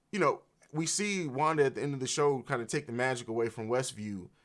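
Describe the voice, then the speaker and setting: An animated man's medium-pitched voice at a fairly quick pace, on a very clean recording with a silent background. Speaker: film reaction youtuber. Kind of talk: live reaction commentary. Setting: livestream. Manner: fast.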